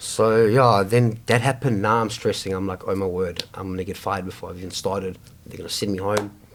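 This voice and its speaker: Speaking very fast with hardly any pauses, a man with a South African accent keeps a fairly even intonation while his loudness swings widely. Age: 20s. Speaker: homeless man sharing life story. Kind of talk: casual interview conversation. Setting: over coffee. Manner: halting, many fillers and restarts.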